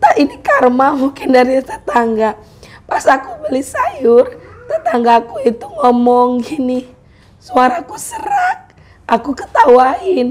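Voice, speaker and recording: A woman's high-pitched voice, lively in intonation, at a very slow pace. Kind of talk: casual vlog talk to camera.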